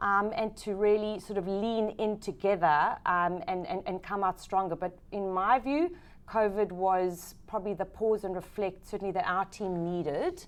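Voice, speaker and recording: A woman speaks at a moderate pace and medium pitch, with fairly even intonation. She barely pauses, and the background is quiet. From South Africa, Johannesburg. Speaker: business executive. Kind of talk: interview.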